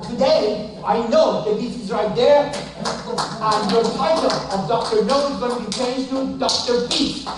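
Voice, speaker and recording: A man speaks at an extremely high pitch with ordinary pitch variation and a fairly slow pace, hardly pausing, while music plays behind him and room echo is audible. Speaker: audience member, retired college dean. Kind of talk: public comment. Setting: speaking without microphone to audience. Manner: loud.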